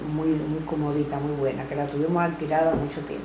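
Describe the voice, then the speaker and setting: A woman with a Cuban accent and a very deep, low voice is heard through noticeable background noise and audible room echo. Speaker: grandmother recounting family history. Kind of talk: family oral history interview.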